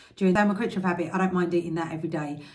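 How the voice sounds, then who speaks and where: In an English accent, a woman speaks with a fairly low, somewhat breathy voice and fairly even intonation. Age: 40s. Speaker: health and diet vlogger. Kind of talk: vlog. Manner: fast.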